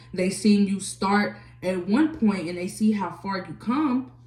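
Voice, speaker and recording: With lively intonation, a woman at medium pitch speaks in a space with audible room echo. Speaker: tarot reader. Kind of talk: tarot reading.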